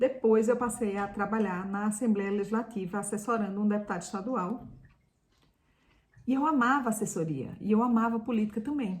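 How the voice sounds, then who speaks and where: A fairly high, somewhat breathy female voice with ordinary pitch variation at a moderate pace. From Brazil, Pernambuco interior. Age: 50s. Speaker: lifestyle youtuber, former journalist. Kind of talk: personal vlog storytelling.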